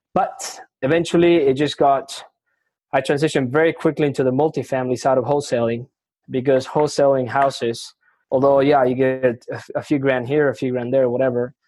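Speaking in a Spanish accent, a man with a medium pitch and a dark, mellow tone talks at a fairly quick pace with fairly even intonation and very even loudness. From Argentina. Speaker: retail real estate investor. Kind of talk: casual interview conversation. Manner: casual, profane, filler-heavy.

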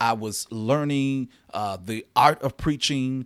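At a very slow pace, a man with an American accent and medium pitch speaks with ordinary pitch variation in a very clean recording with a silent background and a dry, close sound with no echo. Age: 30s. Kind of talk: solo podcast monologue.

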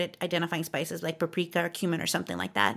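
Woman with an American accent and vocal fry. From Southern California. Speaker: podcast host. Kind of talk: casual chat.

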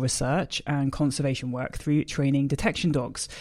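A man with a British accent speaks at a moderate pace. The recording is very clean, with a silent background. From Britain. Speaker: podcast host and gundog trainer. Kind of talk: scripted introduction; interview.

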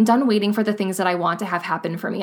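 A woman talks at a medium pitch with a Midwestern American accent. Her intonation stays fairly even. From US Midwest. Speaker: podcast host. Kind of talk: motivational monologue. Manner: casual, conversational.

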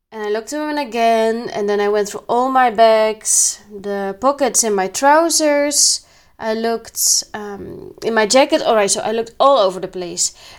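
A woman with a non-native accent and lively intonation, at a moderate pace with hardly any pauses, on a very clean recording with a silent background. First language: not English. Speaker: spiritual podcaster. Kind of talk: solo monologue. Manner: halting.

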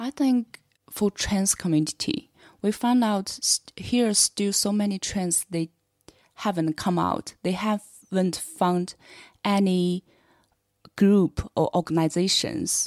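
A woman with a Chinese accent speaks very slowly at medium pitch with ordinary pitch variation, in a very clean, dry, close recording with no echo and a silent background. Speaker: LGBT podcast creator. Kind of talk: casual panel discussion.

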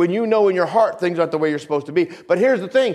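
A man speaks with very wide pitch swings. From New England. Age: 50s. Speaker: pastor. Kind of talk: sermon.

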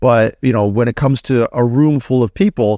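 A man with a plain, everyday voice, fairly quick, with ordinary pitch variation, in a dry, close sound with no echo and a very clean recording with a silent background. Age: 40s. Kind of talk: casual chat.

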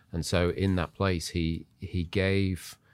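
Very deep and low in pitch, a man speaks with an English accent and fairly even intonation. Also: very clean recording, silent background. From Zimbabwe, moved to England at nine. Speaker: church leader. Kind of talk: casual chat, testimony. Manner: halting, many fillers.

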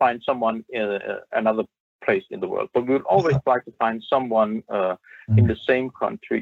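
This is a man speaking. He has a Danish accent. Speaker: app founder. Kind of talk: interview. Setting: video call.

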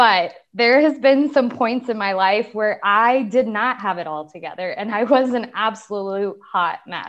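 Against a quiet background, a woman talks in a normal speaking voice at a fairly high pitch with ordinary pitch variation, at a fairly slow pace with hardly any pauses. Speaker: online beauty business owner. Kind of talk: personal testimony in interview.

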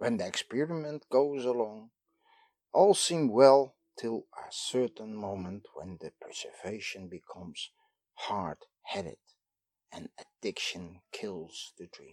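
In a Dutch accent, a man speaks at a very slow pace with lively intonation, the sound dry and close with no echo. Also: medium pitch for a man. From Netherlands. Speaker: lecturer. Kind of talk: lecture.

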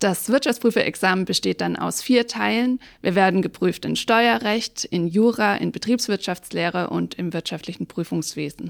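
A woman's medium-pitched voice with vocal fry and lively intonation, at a moderate pace with hardly any pauses, in a very clean, dry, close recording with a silent background and no echo. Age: 30s. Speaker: tax advisor and auditor. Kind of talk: interview.

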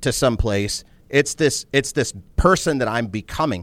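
At a moderate pace, a man talks with vocal fry. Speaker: entrepreneur. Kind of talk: casual interview conversation. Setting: studio. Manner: candid, profane, intense.

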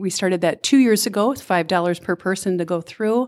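Speech in a Minnesotan accent at a moderate pace, with fairly even intonation, on a very clean recording with a silent background. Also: woman. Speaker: volunteer event organizer. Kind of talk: interview.

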